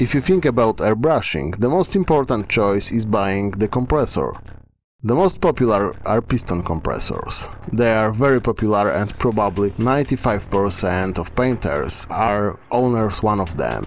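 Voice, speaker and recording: A man with a non-native accent talks at a moderate pace and a fairly low pitch, using lively intonation. His loudness stays very even on a very clean recording with a silent background. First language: not English. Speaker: miniature painting hobbyist. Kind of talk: tutorial.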